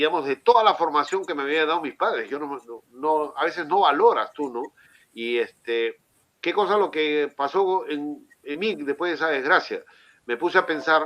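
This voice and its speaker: The man has a fairly high pitch with ordinary pitch variation. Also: moderate pace. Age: 60s. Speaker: city councillor. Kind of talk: interview. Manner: halting, many fillers. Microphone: connection problems.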